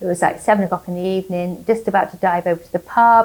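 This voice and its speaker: A woman with an English accent, medium pitch and fairly even intonation. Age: 60s. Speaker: cancer patient and nurse. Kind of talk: testimony. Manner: halting.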